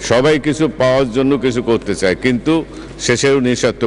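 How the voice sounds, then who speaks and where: A man at medium pitch with ordinary pitch variation over light background noise. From Bangladesh. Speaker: member of parliament. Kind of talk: parliamentary condolence speech. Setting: parliament chamber. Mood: solemn tribute. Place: hall. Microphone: podium.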